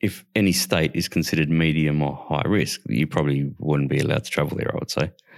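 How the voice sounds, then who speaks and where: Talking at a very fast pace with hardly any pauses, a man uses a very deep, low voice with vocal fry and ordinary pitch variation. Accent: Australian. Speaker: podcast co-host. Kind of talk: casual political chat. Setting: online recording platform.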